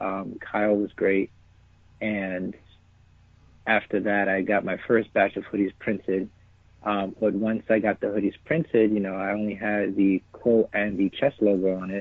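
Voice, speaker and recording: Speaking in an American accent, a man keeps a monotone, flat intonation at a fairly low pitch. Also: moderate pace. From New York City (Bronx). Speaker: clothing brand founder. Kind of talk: interview.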